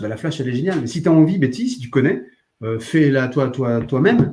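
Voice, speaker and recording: Somewhat breathy and dark, mellow in tone, a man speaks fairly quickly at a medium pitch. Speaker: art supplies shop livestream host. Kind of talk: live demonstration stream answering chat. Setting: live video stream. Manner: fast; animated.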